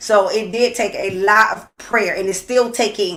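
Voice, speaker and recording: Shouting, a woman speaks at a fairly slow pace with a fairly high pitch. Her intonation stays fairly even. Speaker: co-host of a couples talk show. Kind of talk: casual livestream chat. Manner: loud, screams from working with children.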